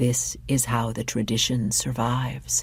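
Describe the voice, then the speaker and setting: A man whispers at a moderate pace in a put-on character voice. Light background noise can be heard. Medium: read story. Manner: whispering.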